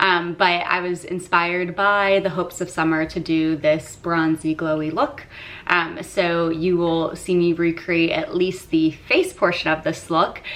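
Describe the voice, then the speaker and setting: In an American accent, a woman speaks at a fairly slow pace. Her pitch sits fairly low. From Florida. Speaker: beauty vlogger. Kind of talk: casual chat.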